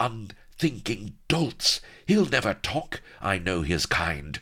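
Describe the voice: Putting on a character voice, a man drawls at a slow pace in a fairly low pitch with a bright, sharp tone and big pitch swings.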